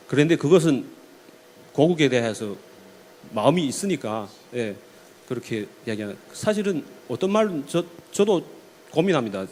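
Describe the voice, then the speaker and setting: A man's voice swings very widely in pitch. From China, ethnic Korean community. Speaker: panel speaker. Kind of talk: talk concert Q&A answer.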